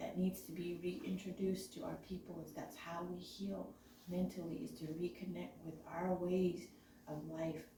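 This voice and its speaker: Moderate-paced speech from a woman, with noticeable background noise and audible room echo. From Navajo Nation. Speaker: community member. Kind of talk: testimony. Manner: halting.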